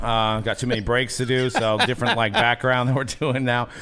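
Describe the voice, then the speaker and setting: The speaker is a man with a fairly quick pace. His pitch stays fairly even. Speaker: podcast host. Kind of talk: podcast intro and promo talk. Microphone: studio mic.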